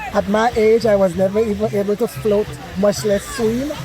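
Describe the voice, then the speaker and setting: There is noticeable background noise as a woman speaks at a moderate pace. Her pitch is fairly high, with ordinary pitch variation. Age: 70s. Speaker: swimming program participant. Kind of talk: interview. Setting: outdoors on a beach.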